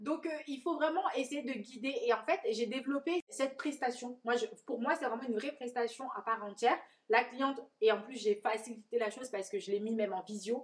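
A woman's high-pitched voice with ordinary pitch variation at a fairly quick pace. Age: 30s. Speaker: podcast host and hairdresser. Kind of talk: interview. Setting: coworking space, on a sofa.

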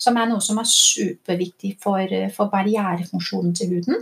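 In an animated tone with a Danish accent, the speaker talks at a fairly slow pace with ordinary pitch variation. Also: woman. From Denmark. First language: Danish (speaking Norwegian). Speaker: doctor and skincare entrepreneur. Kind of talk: interview. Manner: halting.

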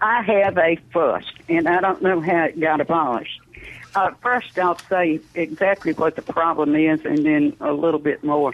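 A woman speaks at a moderate pace in a Southern US accent. Her pitch sits fairly low and moves with ordinary variation. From Mississippi. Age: 70s. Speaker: caller. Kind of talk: call-in question. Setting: phone call.

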